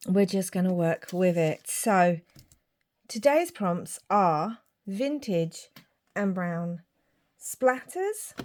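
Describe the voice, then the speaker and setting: A woman with a British accent at a very slow pace, long, frequent pauses throughout, on a very clean recording with a silent background. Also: medium pitch for a woman, ordinary pitch variation. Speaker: craft youtuber. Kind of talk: craft tutorial.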